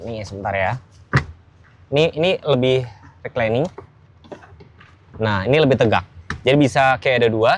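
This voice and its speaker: A man with a Javanese accent, moderate pace and lively intonation. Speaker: car reviewer. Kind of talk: car review walkthrough. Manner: casual, conversational.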